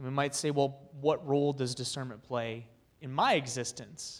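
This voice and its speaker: Intonation remains fairly even at a moderate pace. It is a normal speaking voice. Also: man. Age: 30s. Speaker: youth ministry speaker. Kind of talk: talk to a men's group.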